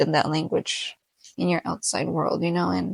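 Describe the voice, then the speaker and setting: In a Spanish accent, a woman speaks at a moderate pace with a dry, close sound and no echo. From Mexican American. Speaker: podcast host. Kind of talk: casual solo podcast chat. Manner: hesitant with many fillers.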